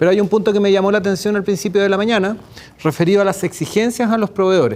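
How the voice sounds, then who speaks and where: A man speaks at a very fast pace. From Chile. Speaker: public procurement expert, speaker. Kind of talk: lecture at a workshop.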